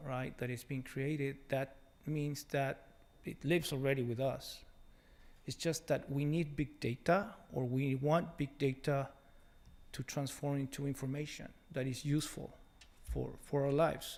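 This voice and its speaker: A man with a Mexican accent and a fairly high pitch, at a moderate pace with long, frequent pauses and fairly even intonation. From Mexico. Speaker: technology executive. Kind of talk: conference talk. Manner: hesitant, many fillers.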